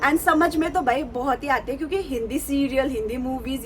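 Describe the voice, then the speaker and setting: A woman talks at a moderate pace in a high voice. Noticeable background noise runs underneath. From Nepal. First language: Nepali (speaking Hindi). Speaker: vlogger. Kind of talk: casual vlog talk to camera. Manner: hesitant, many fillers.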